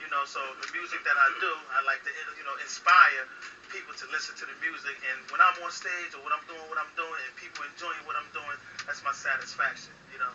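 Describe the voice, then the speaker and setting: With an American accent, a man talks at a fairly quick pace and fairly high pitch, his intonation fairly even but his loudness swinging widely, over noticeable background noise. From Jersey City, New Jersey. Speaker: rapper. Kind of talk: interview. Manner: casual, repetitive with fillers.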